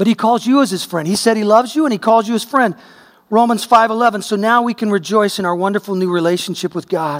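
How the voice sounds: Pitch varies in an ordinary way in a natural reading voice.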